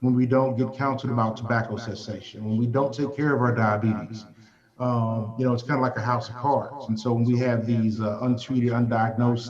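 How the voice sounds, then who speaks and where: In a Southern US accent, the speaker talks at a fairly quick pace with monotone, flat intonation, amid audible room echo and noticeable background noise. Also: man. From US South. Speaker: healthcare leader. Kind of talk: panel discussion.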